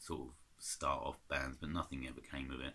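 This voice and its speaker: A man's bright, sharp voice carries vocal fry and moves at a moderate pace. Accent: English. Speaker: vinyl collector vlogger. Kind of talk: casual chat. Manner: hesitant.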